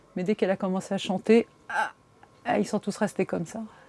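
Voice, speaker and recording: A woman with a medium pitch talks at a fairly quick pace, and the sound is dry and close with no echo. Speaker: aspiring singer. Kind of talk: documentary interview. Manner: casual, hesitant with fillers.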